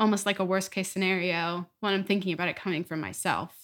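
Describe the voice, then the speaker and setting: On a very clean recording with a silent background, a woman talks at medium pitch with fairly even intonation. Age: young. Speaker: college student, musical theater major. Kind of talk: casual family chat. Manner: laughs often.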